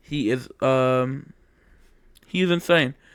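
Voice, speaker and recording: A man's fairly high-pitched voice. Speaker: sports fan vlogger. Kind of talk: casual commentary monologue. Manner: halting, repeats words.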